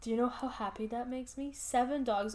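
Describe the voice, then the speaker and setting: Speaking at a moderate pace, a woman sounds animated, her fairly high pitch showing ordinary pitch variation. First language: not English. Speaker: podcast co-host. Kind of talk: casual chat.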